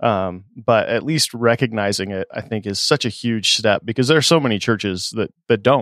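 A man uses an ordinary speaking voice at medium pitch and a moderate pace, with ordinary pitch variation and hardly any pauses, in a very clean recording with a silent background and a dry, close sound with no echo. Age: 40s. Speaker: podcast host for worship leaders. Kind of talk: casual chat.

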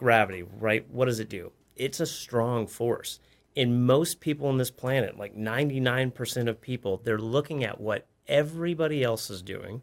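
A man with a plain, everyday voice speaks at medium pitch and a moderate pace with ordinary pitch variation, in a very clean recording with a silent background. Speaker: coach. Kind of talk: casual interview chat.

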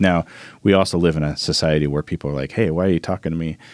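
A man's very deep, low voice with an American accent and ordinary pitch variation, on a very clean recording with a silent background. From Oregon, US (Albany). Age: 40s. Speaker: sound engineer and mentor. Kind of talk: casual interview. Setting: podcast studio.

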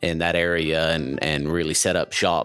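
A man's very deep, low voice comes through noticeable background noise. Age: 30s. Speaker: ballistics engineer. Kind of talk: casual interview.

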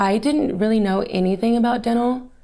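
An ordinary speaking voice from a woman with an American accent, fairly even intonation and a moderate pace. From Texas, Fort Worth. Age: young. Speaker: salesperson, former dental hygienist. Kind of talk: interview.

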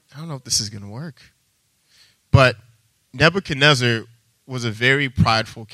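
On a very clean recording with a silent background, a man with an American accent speaks at a fairly quick pace and medium pitch in a bright, sharp tone, with ordinary pitch variation, big swings in loudness and long, frequent pauses. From Texas. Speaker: preacher. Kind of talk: sermon. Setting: church.

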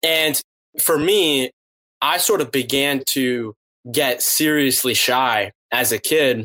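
Bright and sharp in tone, a man with an American accent speaks at a very slow pace and medium pitch in a dry, close recording with no echo. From US East Coast, Boston, Massachusetts. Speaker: podcast host and author. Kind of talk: interview conversation.

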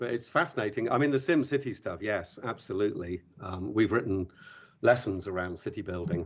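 With an English accent, a man with a fairly low pitch talks at a fairly quick pace using lively intonation. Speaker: podcast co-host, secondary school educator. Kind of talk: podcast interview.

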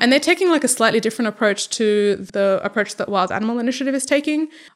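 An Australian-accented woman, high-pitched, with lively intonation. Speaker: animal welfare researcher. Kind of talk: interview.

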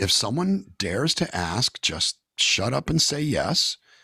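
A man with an American accent speaks very slowly at a fairly high pitch, with vocal fry and very wide pitch swings. The sound is dry and close with no echo, on a very clean recording with a silent background. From California. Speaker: singer-songwriter. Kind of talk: casual interview. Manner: animated storytelling.

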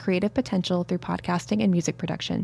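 A woman talks at a very fast pace. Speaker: graduate student and committee co-chair. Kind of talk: scripted introduction.

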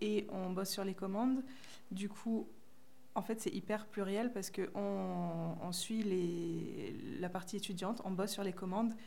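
A woman's medium-pitched, fairly even voice at a fairly slow pace, with audible room echo and noticeable background noise. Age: 20s. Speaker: production coordinator. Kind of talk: interview.

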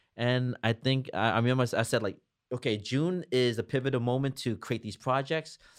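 A man talks in a New Jersey accent at a fairly quick pace. His pitch is medium, and the background is quiet. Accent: New Jersey American. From New Jersey (Jersey City). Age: 40s. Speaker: entrepreneur. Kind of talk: interview.

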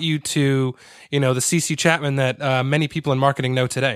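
A man's plain, everyday voice with an American accent, fairly high pitch, ordinary pitch variation, and a fairly quick pace, in a very clean recording with a silent background. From Connecticut, US. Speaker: podcast host and copywriter. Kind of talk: podcast interview.

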